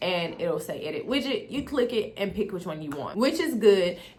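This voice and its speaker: A woman's voice with very wide pitch swings over noticeable background noise. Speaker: beauty and tech YouTuber. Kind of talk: tutorial. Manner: fast; casual, chatty.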